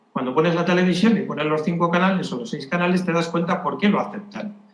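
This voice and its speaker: Over noticeable background noise and audible room echo, a man talks in a high pitch. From Spain. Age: 70s. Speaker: retired doctor. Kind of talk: conference talk. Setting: conference with audience.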